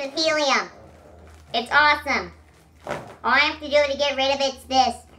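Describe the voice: A woman's put-on character voice, squeaky and high-pitched, with monotone, flat intonation at a moderate pace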